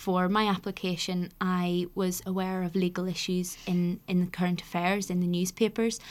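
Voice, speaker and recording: A woman with a Northern Irish accent and a medium pitch. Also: very clean recording, silent background. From Northern Ireland. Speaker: university admissions access officer. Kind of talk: casual interview.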